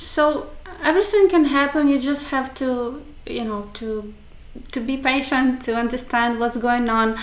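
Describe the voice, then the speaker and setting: The speech comes with long, frequent pauses. Room echo is audible. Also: moderate pace. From Ukraine. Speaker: dating agency matchmaker co-host. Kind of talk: casual chat. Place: office.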